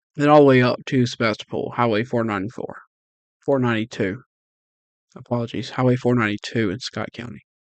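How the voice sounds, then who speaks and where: Very fast speech in a Mississippi accent, fairly even in intonation and broken by long, frequent pauses. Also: man, medium pitch for a man. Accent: Southern US (Mississippi). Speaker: amateur weather streamer. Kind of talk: live weather coverage. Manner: slurring words; casual, conversational.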